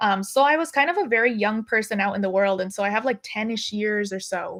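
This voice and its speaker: Using a normal speaking voice, a woman with an American accent speaks fairly quickly at a fairly high pitch with ordinary pitch variation. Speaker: film and TV director. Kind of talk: interview conversation. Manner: casual, many fillers.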